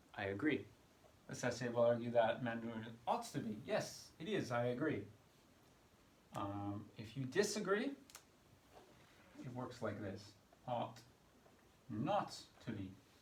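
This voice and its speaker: A man with an American accent speaks fairly slowly at a medium pitch, with lively intonation and long, frequent pauses. Audible room echo surrounds his voice. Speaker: English exam tutor. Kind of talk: tutorial.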